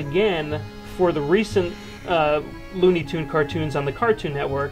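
With clear music in the background, a man talks at a moderate pace with ordinary pitch variation. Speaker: web series host. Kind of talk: interview questions. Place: home room. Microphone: lapel.

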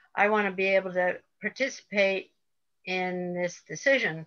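In a quiet background, a woman speaks with a bright, sharp tone. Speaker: presentation moderator. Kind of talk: introduction and moderating Q&A. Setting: video call. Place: home room. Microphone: video call.

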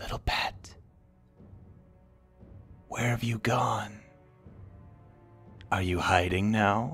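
A man's put-on character voice, fairly low in pitch and very slow, with long, frequent pauses and clear music in the background. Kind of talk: ASMR roleplay. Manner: taunting.

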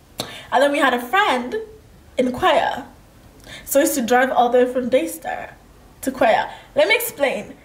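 Audible room echo surrounds a woman with a high pitch talking at a moderate pace. Her pitch moves in very wide swings. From Kenya. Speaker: lifestyle vlogger. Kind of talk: casual chat. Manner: animated. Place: home room.

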